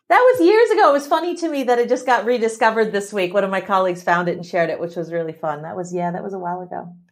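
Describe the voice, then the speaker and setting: A woman with an American accent talks at a very fast pace and medium pitch, her pitch swinging very widely. Her loudness swings a lot, and music plays in the background. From US Midwest. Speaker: tech executive. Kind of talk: interview.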